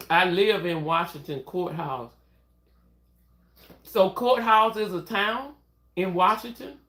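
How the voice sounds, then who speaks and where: The delivery comes in a Southern US accent at a very slow pace. Long pauses occur frequently. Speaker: nursing assistant livestreamer. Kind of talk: casual livestream chat.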